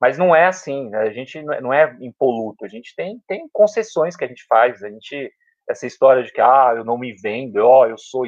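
With a plain, everyday voice, a man speaks at a moderate pace, his loudness swinging widely and his pitch varying in an ordinary way. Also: medium pitch for a man. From São Paulo, south zone periphery. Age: 40s. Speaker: public school teacher. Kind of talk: casual interview chat. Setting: at home.

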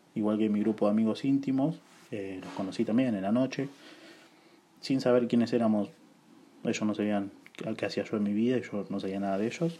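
A man's fairly low, dark, mellow voice at a fairly quick pace, with ordinary pitch variation and long, frequent pauses. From Buenos Aires, Argentina. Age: 20s. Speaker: podcaster. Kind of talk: casual monologue. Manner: informal, conversational.

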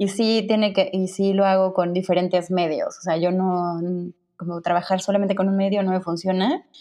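A woman speaks at a moderate pace and medium pitch with hardly any pauses, over a quiet background. Her tone is dark and mellow, and her intonation is monotone and flat. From Mexico, Cuernavaca. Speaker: graphic designer. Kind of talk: casual interview.

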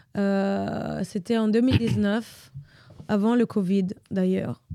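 A woman with an Italian accent speaks at a fairly high pitch in a dark, mellow tone. The sound is dry and close with no echo, on a very clean recording with a silent background. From Italy. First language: Italian (speaking French). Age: 30s. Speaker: dancer. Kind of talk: casual interview.

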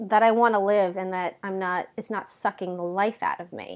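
In a very clean recording with a silent background, a woman with a plain, everyday voice speaks at a medium pitch and a moderate pace with fairly even intonation. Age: 30s. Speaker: podcast host. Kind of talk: casual chat.

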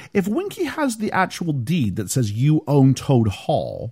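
A man's somewhat breathy, dark and mellow voice, fairly slow, with very wide pitch swings. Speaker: podcast host. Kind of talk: casual chat.

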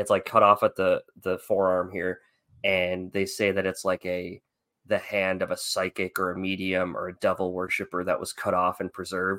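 A man talks at a moderate pace. Everything around him is silent in this very clean recording. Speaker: podcast co-host. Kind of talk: casual chat.

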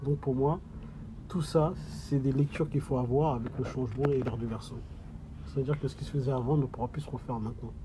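Fairly quick speech with fairly even intonation is broken by long, frequent pauses amid noticeable background noise. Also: man, medium pitch for a man. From sub-Saharan Africa. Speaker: audiovisual company manager and caregiver. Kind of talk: interview. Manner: halting, many hesitations.

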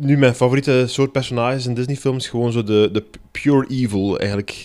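A man has a plain, everyday voice at medium pitch. He keeps a moderate pace and fairly even intonation. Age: 30s. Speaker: comedian. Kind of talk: casual chat.

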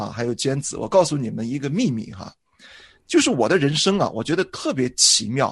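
A man speaks with a fairly high, somewhat breathy voice. He moves at a fairly quick pace against a quiet background. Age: 40s. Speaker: pastor. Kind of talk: casual chat.

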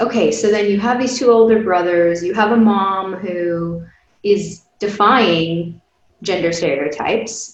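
A woman's normal speaking voice, medium in pitch with ordinary pitch variation, at a fairly slow pace. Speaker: podcast host. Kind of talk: interview.

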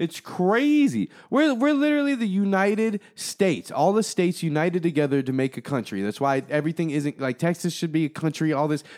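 In a very clean recording with a silent background and a dry, close sound with no echo, a man talks at a high pitch with very wide pitch swings, a fairly quick pace and hardly any pauses. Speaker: creator, rapper, podcaster. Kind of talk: casual chat. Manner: casual, profane, jokey.

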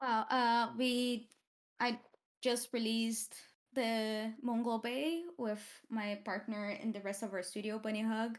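Delivery is at a fairly slow pace with fairly even intonation. The recording is very clean, with a silent background. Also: woman, fairly high pitch for a woman. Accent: Portuguese. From Brazil, Campinas area. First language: Portuguese. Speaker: game art director and studio co-founder. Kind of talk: casual interview.

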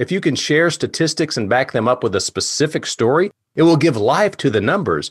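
A man with an American accent speaks at a moderate pace in a fairly high voice with vocal fry and very wide pitch swings, in a very clean recording over a silent background. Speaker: presentation coach. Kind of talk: lecture.

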